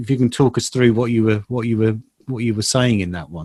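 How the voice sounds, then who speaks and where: A man speaks with a British accent. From UK. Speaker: trade journalist interviewer. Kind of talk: interview. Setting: video call.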